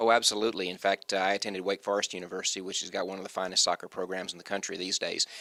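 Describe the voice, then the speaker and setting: A man with an American accent, fairly low in pitch, monotone, flat intonation and hardly any pauses, in a dry, close sound with no echo amid noticeable background noise. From US South, North Carolina. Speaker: university administrator. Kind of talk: interview.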